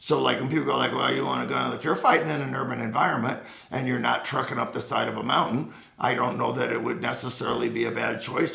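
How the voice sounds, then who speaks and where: A man talks at a fairly quick pace, with audible room echo and noticeable background noise in the recording. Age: 70s. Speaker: firearms instructor, Marine veteran. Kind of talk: casual chat. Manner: animated.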